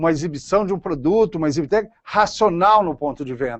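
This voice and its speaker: At a fairly quick pace, a man sounds animated, his intonation lively. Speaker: lecturer on consumer neuroscience. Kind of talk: lecture.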